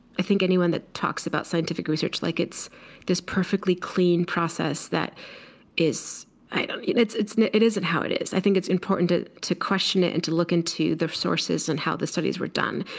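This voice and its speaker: With an American accent and a normal speaking voice, a woman speaks at a moderate pace in a fairly low pitch and fairly even intonation, on a very clean recording with a silent background. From Mexico, raised on US coasts. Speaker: leadership coach and speaker. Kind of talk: interview.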